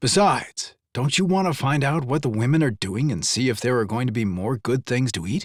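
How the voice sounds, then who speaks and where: In a put-on character voice, a man speaks gruffly at medium pitch and a fairly quick pace. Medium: read story. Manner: sarcastic.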